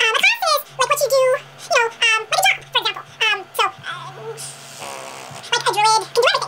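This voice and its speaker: A put-on character voice pitched extremely high comes through over light background noise. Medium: machinima. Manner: hesitant, full of filler words.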